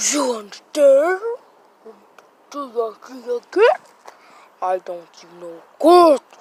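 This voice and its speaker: A cartoonish character voice, high in pitch with very wide pitch swings, comes out at a very slow pace. Long, frequent pauses break it up. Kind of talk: playful puppet comedy. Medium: puppet show. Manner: childish broken grammar, repetitive.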